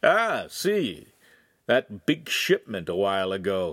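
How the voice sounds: Putting on a character voice, a man speaks slowly with a fairly low pitch, a fairly bright tone and big pitch swings.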